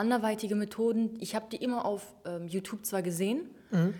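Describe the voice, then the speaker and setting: A woman speaks at a fairly quick pace in a normal speaking voice. Her pitch is medium and her intonation fairly even. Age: 20s. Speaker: online shop owner. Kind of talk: interview.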